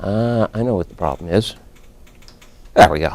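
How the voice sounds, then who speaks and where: Speaking at an average speed, a man talks with an American accent. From Texas, Wichita Falls. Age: 60s. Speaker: statistics professor. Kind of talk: informal lecture. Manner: casual, anecdotal.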